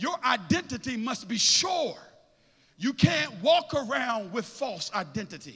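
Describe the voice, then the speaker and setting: A man with an extremely high pitch and a raised, projected voice, fairly slow in pace, with an animated tone and lively intonation. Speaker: preacher. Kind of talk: sermon in full flow, call-and-response with the congregation. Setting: church. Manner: rhythmic, repetitive build-up, fervent and urgent.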